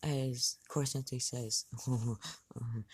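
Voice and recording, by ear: Reading aloud in a natural voice. The intonation stays fairly even.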